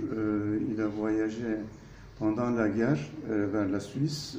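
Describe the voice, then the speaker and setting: Someone speaks at a very slow pace, with audible room echo around the voice. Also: man. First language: Turkish (speaking French). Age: 60s. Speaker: architect. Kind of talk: interview. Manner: hesitant, many fillers.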